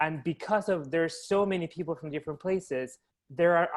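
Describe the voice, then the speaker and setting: A man speaks with a Latin American accent. His intonation stays fairly even at a moderate pace. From Chile. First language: Spanish. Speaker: actor. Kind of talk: casual chat.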